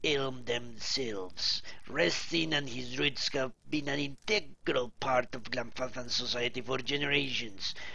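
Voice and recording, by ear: Here the text is read aloud in a natural voice.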